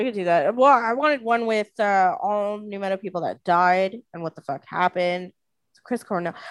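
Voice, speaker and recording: A woman with an unremarkable speaking voice talks at a moderate pace and medium pitch with ordinary pitch variation, recorded with a dry, close sound, no echo and a quiet background. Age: 20s. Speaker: podcast co-host. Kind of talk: casual chat.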